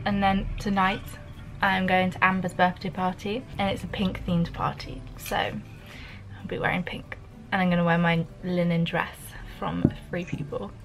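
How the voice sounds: Over faint music in the background, a woman speaks at a fairly slow pace with fairly low pitch and little pitch movement.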